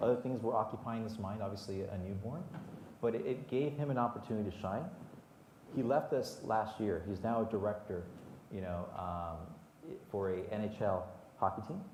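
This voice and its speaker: Amid noticeable background noise and audible room echo, a man speaks at a moderate pace in a fairly low pitch with ordinary pitch variation. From Southern California, Whittier, Mexican-American family. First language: Spanish. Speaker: HR executive at sports team. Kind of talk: panel interview. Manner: hesitant, many repetitions and fillers.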